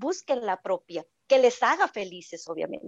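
A woman with a fairly high pitch is heard in a dry, close sound without any echo. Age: 40s. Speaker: sexologist. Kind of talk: casual chat.

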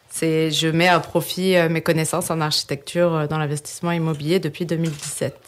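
A woman talks at a moderate pace with hardly any pauses, her fairly low voice monotone and flat in intonation. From France. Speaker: architect and real estate investor. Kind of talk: interview.

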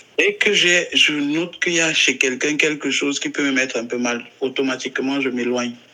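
A man with a fairly high pitch, fairly quick delivery and fairly even intonation, over noticeable background noise. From Cameroon. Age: 30s. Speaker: LGBT rights activist. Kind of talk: interview.

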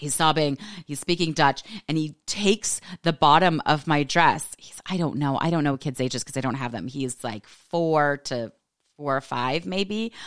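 With an American accent, a woman speaks in a very deep, low pitch, her loudness swinging widely. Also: ordinary pitch variation. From California. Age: 40s. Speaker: life coach. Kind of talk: casual monologue podcast. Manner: fast talker; animated.

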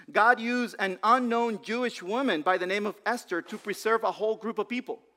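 The recording is very clean, with a silent background. A man with a high pitch speaks at a moderate pace and fairly even intonation. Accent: non-native. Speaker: pastor. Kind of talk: sermon. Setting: church. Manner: halting.

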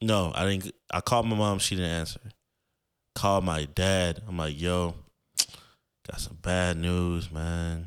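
A man speaks at a fairly slow pace in a very deep, low pitch with ordinary pitch variation and long, frequent pauses. The recording is very clean, with a silent background. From Florida. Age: 20s. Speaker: podcast host. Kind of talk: casual monologue. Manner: casual, filler-heavy.

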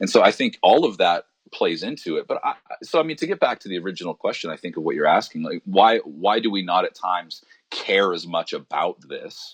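A fairly quick voice in a Western Canadian accent, dry and close with no echo. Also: man. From Alberta, Canada. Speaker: pastor. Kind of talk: interview conversation.

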